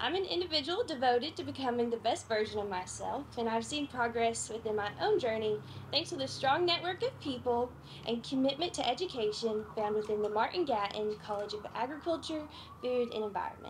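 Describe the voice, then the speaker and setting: Light background noise sits behind the voice. The delivery is fairly quick with lively intonation. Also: woman, high pitch for a woman. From Kentucky. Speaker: agriculture student; speaker. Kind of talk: prepared speech. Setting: outdoor tent event with audience. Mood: warm, grateful.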